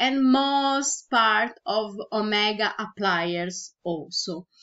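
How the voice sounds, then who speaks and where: A woman with a Brazilian Portuguese accent and ordinary pitch variation. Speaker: virtual product creator. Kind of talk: tutorial. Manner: halting.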